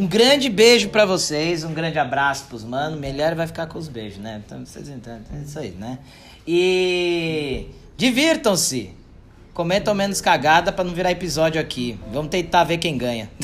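A man speaks at a moderate pace in a fairly high pitch. His loudness swings a lot, and his pitch rises and falls very widely. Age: 30s. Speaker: podcast host, marketing consultant. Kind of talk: casual solo monologue. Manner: informal, joking.

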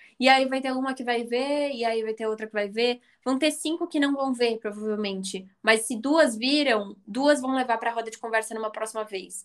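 A woman with an ordinary speaking voice talks at a moderate pace. Her pitch sits fairly high and varies in an ordinary way. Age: 20s. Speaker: business student and founder of a women's investing channel. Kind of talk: casual interview.

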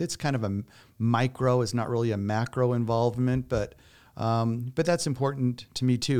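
This is a man with a plain, everyday voice at a medium pitch, talking at a moderate pace. The recording is very clean, with a silent background. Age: 50s. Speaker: elder law attorney. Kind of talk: interview.

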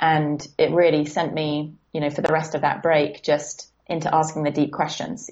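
Speaking in a southern English accent, a woman with a very deep, low pitch keeps a moderate pace and a monotone, flat intonation. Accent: British southern English. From southern England. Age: 20s. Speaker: life coach. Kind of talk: casual interview chat. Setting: remote call.

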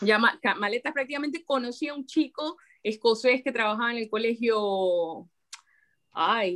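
A woman has an ordinary speaking voice with a fairly high pitch. She talks at a moderate pace with lively intonation. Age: 40s. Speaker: writer. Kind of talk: casual interview chat.

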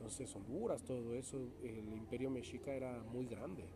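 Somewhat breathy speech moves at a fairly slow pace, with audible room echo. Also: man. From Mexico, Toluca. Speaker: opera singer. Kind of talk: interview. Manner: laughs often.

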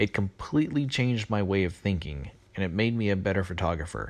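The pace is fairly quick in an ordinary speaking voice. Its intonation stays lively. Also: man. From Texas. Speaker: amateur photographer, listener. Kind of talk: recorded voicemail testimony.

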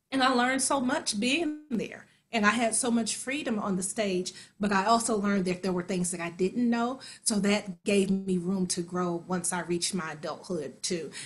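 Somewhat breathy and lively in intonation, a voice with an American accent speaks at a moderate pace. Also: woman, medium pitch for a woman. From US Midwest, Kansas City. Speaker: actor and singer. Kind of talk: interview.

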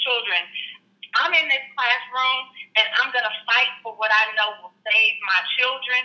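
This woman has an unremarkable speaking voice and an American accent. She keeps a moderate pace with ordinary pitch variation. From Houston, Texas. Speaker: school administrator. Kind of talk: interview.

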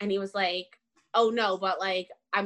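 A woman with a medium pitch speaks at a moderate pace in a monotone, flat intonation. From Ontario, Canada (Richmond Hill). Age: 20s. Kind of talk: casual interview. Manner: well-spoken.

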